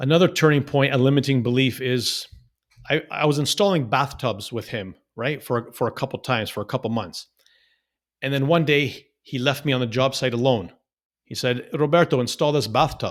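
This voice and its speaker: A man with a Canadian accent speaks in a plain, everyday voice at a medium pitch and moderate pace, with ordinary pitch variation. The recording is very clean, with a silent background. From Canada, Toronto. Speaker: real estate investor. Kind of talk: interview storytelling. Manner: repetitive false starts.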